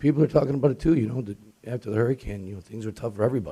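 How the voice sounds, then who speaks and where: A man's voice comes out somewhat breathy. He talks at a very fast pace. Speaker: restaurant tenant speaking at public comment. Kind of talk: public comment at city commission. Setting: city commission meeting. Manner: casual, hesitant with fillers.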